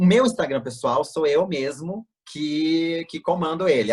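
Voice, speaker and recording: The speaker, with a Tocantins accent, talks at a fairly slow pace. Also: man. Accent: Tocantins accent, picked up. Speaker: plastic surgeon. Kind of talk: interview over video call. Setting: video call. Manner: casual, hesitant with fillers.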